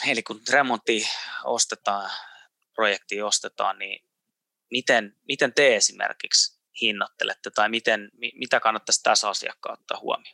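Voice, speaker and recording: The speech comes at a fairly slow pace in a dry, close sound with no echo. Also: man. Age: 30s. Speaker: podcast host. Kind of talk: interview. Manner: halting.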